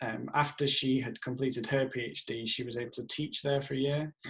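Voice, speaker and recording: A somewhat breathy man with a strong Yorkshire accent, fairly even intonation and a moderate pace. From northern England, Leeds, Yorkshire. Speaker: professor. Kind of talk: self-introduction video with slides. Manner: casual with filler sounds.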